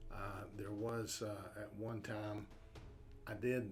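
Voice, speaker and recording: Over music in the background and audible room echo, a man talks with an American accent. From southeast Oklahoma, US. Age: 50s. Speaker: army veteran. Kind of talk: interview testimony.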